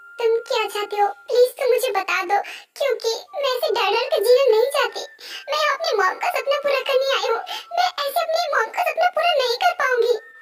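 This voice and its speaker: This is a put-on character voice that sounds female, pitched extremely high. It moves at a moderate pace. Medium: dub. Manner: pleading, fearful.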